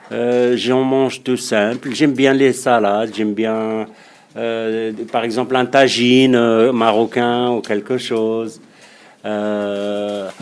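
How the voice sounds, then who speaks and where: In a North African accent, a man speaks at a very slow pace with monotone, flat intonation. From Morocco. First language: Berber (speaking French). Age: 50s. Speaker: local resident, amateur chess instructor. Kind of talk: interview answering children's questions. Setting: classroom. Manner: halting, many hesitations and repetitions.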